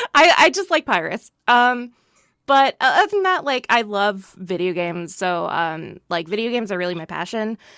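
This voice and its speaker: A woman with a fairly high pitch and a bright, sharp tone speaks at a moderate pace with very wide pitch swings, the sound dry and close with no echo. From Britain and US. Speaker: voice actress. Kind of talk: casual chat.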